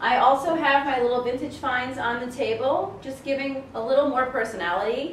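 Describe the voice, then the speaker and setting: With an American accent, a woman speaks at a high pitch and a moderate pace. Audible room echo surrounds her voice. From Colorado, US. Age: 30s. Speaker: furniture redesigner. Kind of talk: tutorial. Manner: animated.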